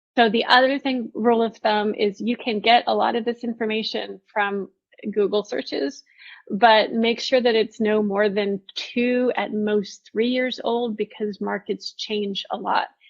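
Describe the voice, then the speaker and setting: A woman's fairly high voice, a plain, everyday voice, at a fairly slow pace with fairly even intonation. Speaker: product management presenter. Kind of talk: online conference presentation. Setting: virtual event livestream.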